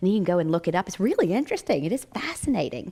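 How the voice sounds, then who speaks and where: A woman with a slight Southern US accent at a very fast pace, animated in tone, with very wide pitch swings. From Virginia mountains, US. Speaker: psychic medium and near-death experiencer. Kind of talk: inspirational talk. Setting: stage with audience.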